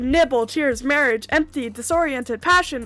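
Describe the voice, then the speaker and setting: A woman's high-pitched, raised and projected voice, bright and sharp, with ordinary pitch variation at a moderate pace. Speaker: game streamer. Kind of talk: gaming livestream, reading word lists aloud. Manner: loud; stumbling over words.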